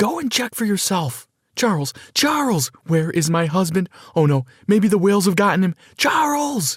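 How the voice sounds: This put-on character voice moves at a moderate pace, with big pitch swings and a slightly husky edge. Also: man, high pitch for a man.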